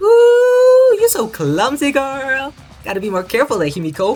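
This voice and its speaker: High-pitched and put on, this character voice moves at a moderate pace. Faint music plays in the background. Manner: playful, teasing.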